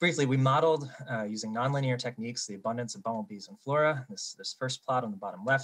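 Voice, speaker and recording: This man speaks very fast in an American accent, with lively intonation. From eastern United States. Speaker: bumblebee researcher. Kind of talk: conference poster presentation.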